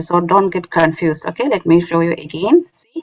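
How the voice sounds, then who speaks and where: At a moderate pace, a woman with a non-native accent talks at a medium pitch in a dry, close sound with no echo. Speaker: Quran recitation teacher. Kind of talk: online lecture. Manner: halting, many fillers.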